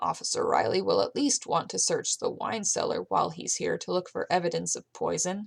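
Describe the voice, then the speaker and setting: Raspy and fast-moving, a woman's put-on character voice runs at a fairly quick pace with hardly any pauses. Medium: read story. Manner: measured, cautious.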